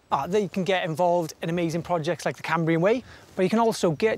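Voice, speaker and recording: Very fast and high-pitched, a man speaks with ordinary pitch variation in a dry recording with no echo. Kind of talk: interview answer. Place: open country.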